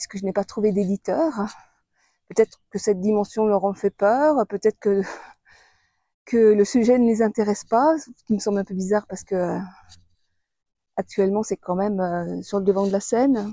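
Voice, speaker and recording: In a very clean recording with a silent background, a woman with a dark, mellow tone and a medium pitch speaks at a moderate pace with ordinary pitch variation and long, frequent pauses, the sound dry and close with no echo. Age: 60s. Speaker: author and video blogger. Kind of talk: personal testimony. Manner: hesitant, many fillers.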